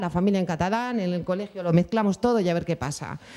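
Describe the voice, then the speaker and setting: Speaking at a very fast pace, a woman uses a medium-pitched voice with a dark, mellow tone and ordinary pitch variation. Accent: Bilbao. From Spain, Bilbao (Basque Country). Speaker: mother of a deaf child, panelist. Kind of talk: round-table testimony. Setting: conference panel with audience.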